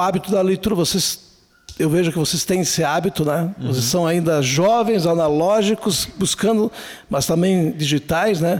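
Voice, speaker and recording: His pitch high and its variation ordinary, a man speaks at a moderate pace. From southern Brazil, Serra Gaúcha (Flores da Cunha). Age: 60s. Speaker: writer and speaker. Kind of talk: casual interview.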